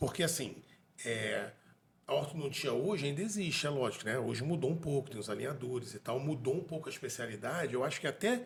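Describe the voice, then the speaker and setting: A man's voice sits fairly high, with vocal fry. He talks at a fairly quick pace with lively intonation. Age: 40s. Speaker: dentist and podcast co-host. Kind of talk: casual interview conversation.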